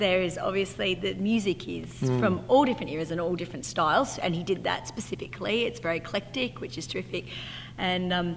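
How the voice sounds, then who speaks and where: Talking at a very fast pace, a woman is heard with light background noise. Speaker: narrator of show. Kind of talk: interview answer. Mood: cheerful, enthusiastic. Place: hall.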